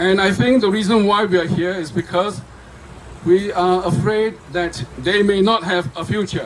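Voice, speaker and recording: The speech moves at a moderate pace, with noticeable background noise underneath. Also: man, high pitch for a man, ordinary pitch variation. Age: 70s. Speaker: speaker at a political rally. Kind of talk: rally speech. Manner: animated.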